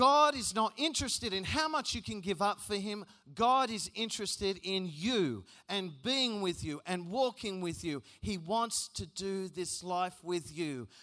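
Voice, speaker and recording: On a very clean recording with a silent background, an animated man with an Australian accent raises and projects his high-pitched voice, bright and sharp in tone, with lively intonation at a fairly slow pace. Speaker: youth conference speaker. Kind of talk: sermon.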